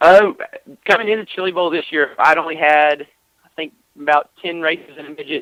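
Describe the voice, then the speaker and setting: In a Texas accent, a man talks at a fairly quick pace with a high pitch. His tone is bright and sharp, and the sound is dry and close with no echo. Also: ordinary pitch variation, big swings in loudness. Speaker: sprint car racing driver. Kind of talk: radio interview. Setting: phone call.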